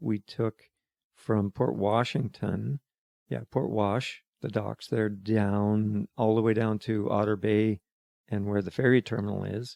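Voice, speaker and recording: A man's fairly low voice with a dark, mellow tone, in a western Canadian accent, at a very slow pace. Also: dry, close sound with no echo. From Alberta, Calgary. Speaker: retired excavation worker. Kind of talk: interview. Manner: halting.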